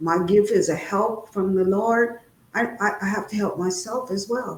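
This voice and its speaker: At a fairly slow pace, a woman with an American accent talks in a medium pitch, using fairly even intonation and an unremarkable speaking voice. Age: 60s. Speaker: guest speaker on trauma. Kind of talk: interview testimony.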